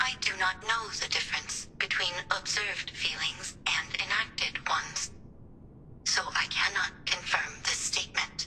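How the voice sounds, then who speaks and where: A put-on character voice that sounds female sits at medium pitch and moves at a moderate pace, with clear background noise behind it. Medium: machinima. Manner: flat, measured, formal.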